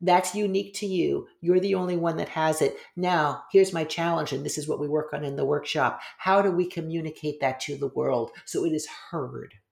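With vocal fry and a very deep, low pitch, a woman talks at a moderate pace with hardly any pauses and ordinary pitch variation. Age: 50s. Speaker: yoga teacher and author. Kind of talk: casual chat.

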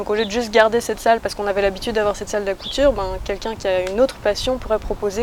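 Through noticeable background noise, a woman talks very fast at a medium pitch with monotone, flat intonation. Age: 20s. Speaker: school co-founder, singer and guitarist. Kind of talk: interview.

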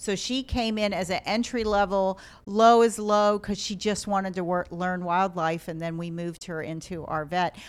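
A woman with an American accent and an ordinary speaking voice, medium in pitch, at a moderate pace with fairly even intonation and hardly any pauses, on a very clean recording with a silent background. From Ohio. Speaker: wildlife hospital director. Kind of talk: casual interview.

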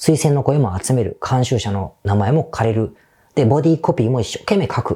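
A man's somewhat breathy voice, dark and mellow in tone, with lively intonation. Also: medium pitch for a man, moderate pace, very clean recording, silent background. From Japan, Osaka. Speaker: business consultant, podcast host. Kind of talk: solo podcast monologue. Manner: casual, conversational.

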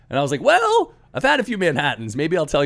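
Very fast, with very wide pitch swings and vocal fry, a man speaks. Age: 40s. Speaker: entrepreneur, company founder. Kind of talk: casual interview conversation.

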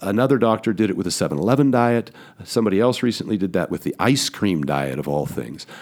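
A man talks at a very fast pace in a fairly low pitch. His voice has vocal fry and very wide pitch swings. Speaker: retired bodybuilder and entrepreneur. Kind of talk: casual chat. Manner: halting.

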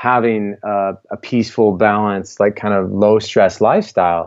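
A man talks fairly slowly with an American accent. His fairly low voice keeps a fairly even intonation. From US Midwest, Iowa. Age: 20s. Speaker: health coach and author. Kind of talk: interview. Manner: halting, many fillers.

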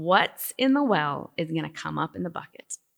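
Using a put-on character voice, a woman drawls at a moderate pace and a fairly low pitch, with a dry, close sound and no echo. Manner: slow drawl.

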